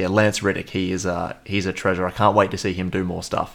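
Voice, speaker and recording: A man with an Australian accent speaks at a fairly quick pace in a fairly low voice, recorded very cleanly against a silent background. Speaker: podcast co-host, film reviewer. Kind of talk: casual chat.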